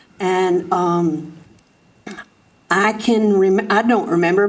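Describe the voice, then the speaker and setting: A woman with an American accent speaks very slowly at a medium pitch, her intonation monotone and flat, with audible room echo. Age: 80s+. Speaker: farmer and resident speaking at public comment. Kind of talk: public comment at city council meeting. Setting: city council chamber.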